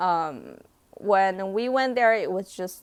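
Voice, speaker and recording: A woman with a Chinese accent, medium in pitch, lively in intonation and at a fairly slow pace, on a very clean recording with a silent background. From China, raised partly in Canada and US. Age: 20s. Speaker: vlogger. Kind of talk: live stream Q&A. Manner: casual, hesitant with fillers.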